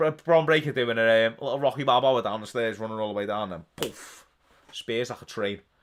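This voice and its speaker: A man at a medium pitch with a Liverpool accent, very fast pace and ordinary pitch variation, in a very clean recording with a silent background. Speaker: wrestling watch-along streamer. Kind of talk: live stream watch-along commentary and chat. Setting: live stream. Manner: animated.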